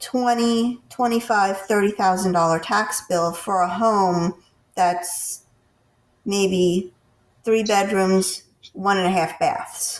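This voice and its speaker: A woman talks at a very slow pace, her medium pitch showing ordinary pitch variation. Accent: American. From US Northeast. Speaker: podcast host. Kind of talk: interview.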